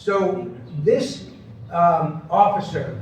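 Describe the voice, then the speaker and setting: A high-pitched man with an American accent, with noticeable background noise and audible room echo. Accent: Long Island accent, slips out. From Long Island, New York. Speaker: conference speaker on persuasion. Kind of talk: conference presentation. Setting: stage with audience. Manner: conversational, many fillers and false starts.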